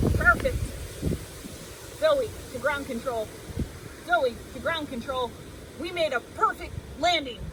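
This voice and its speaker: Using a put-on character voice pitched high, a woman speaks at a fairly slow pace against clear background noise. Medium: read story. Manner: upbeat, enthusiastic.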